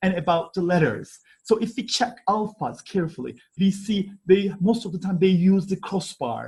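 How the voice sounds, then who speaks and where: A man speaks in a high pitch with a Turkish accent. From Turkey, Istanbul (Kadıköy). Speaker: archaeology professor. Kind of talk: conference presentation. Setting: online conference. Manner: halting, many fillers.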